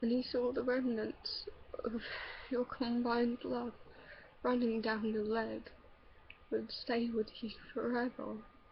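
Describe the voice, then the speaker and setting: Her pace fairly slow, a woman speaks with long, frequent pauses. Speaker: amateur poetry reader. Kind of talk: poetry reading.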